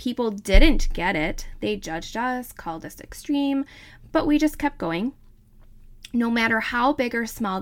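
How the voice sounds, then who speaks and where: A woman with a Wisconsin accent, a warm, upbeat tone, fairly high pitch, lively intonation and a moderate pace, in a very clean recording with a silent background. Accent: Wisconsin (northern US Midwest). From northern Wisconsin. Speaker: podcast host, wellness advocate and mom. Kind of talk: podcast intro, personal storytelling. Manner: warm, upbeat, enthusiastic.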